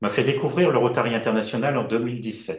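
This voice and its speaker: Somewhat breathy, a man talks at a fairly quick pace and medium pitch. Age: 60s. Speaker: service club district governor-elect, retired banker. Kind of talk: prepared video presentation. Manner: formal.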